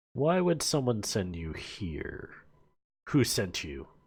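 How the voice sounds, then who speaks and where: A man speaks in a booming, put-on character voice at medium pitch, with very wide pitch swings and a very slow pace. The recording is very clean, with a silent background. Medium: actual play. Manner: haughty, mocking.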